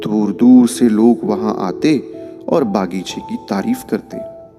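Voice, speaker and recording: Music plays in the background as a man at a medium pitch swings his pitch very widely. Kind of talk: motivational story narration.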